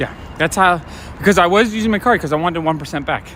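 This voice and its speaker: Talking at a very fast pace, a man with a high pitch uses ordinary pitch variation. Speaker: comic shop owner and livestreamer. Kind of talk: casual livestream talk while walking. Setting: outdoors. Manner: soft-spoken.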